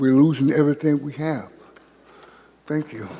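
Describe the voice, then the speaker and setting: Over noticeable background noise, a man speaks at a fairly high pitch. His intonation stays fairly even. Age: 60s. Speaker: homeless public commenter. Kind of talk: public comment at council meeting. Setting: city council chamber. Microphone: too far from the microphone.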